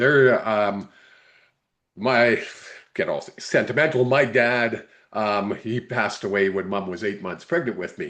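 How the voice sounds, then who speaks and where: A man with a Canadian accent speaks at medium pitch and a fairly slow pace. It is an ordinary speaking voice. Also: quiet background. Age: 60s. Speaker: sports podcast co-host. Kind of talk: casual interview.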